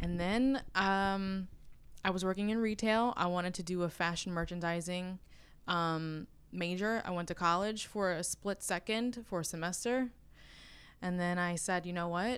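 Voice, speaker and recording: A woman with a normal speaking voice talks at a moderate pace, her medium pitch carried in fairly even intonation. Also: very clean recording, silent background. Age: 20s. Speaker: real estate agent. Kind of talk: casual chat. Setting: office.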